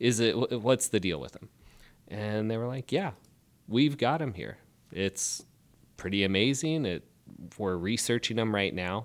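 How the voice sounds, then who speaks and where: The speaker has an American accent and moves at a moderate pace with long, frequent pauses. Loudness swings widely, pitch varies ordinarily, and the recording is very clean with a silent background. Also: man, fairly low pitch for a man. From Spokane, Washington. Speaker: cattle rancher. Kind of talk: casual interview.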